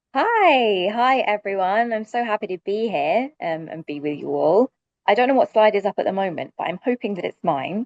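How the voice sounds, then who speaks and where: A woman with a London accent and medium pitch speaks with lively intonation. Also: moderate pace. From London, UK. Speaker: sustainability director. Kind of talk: panel presentation.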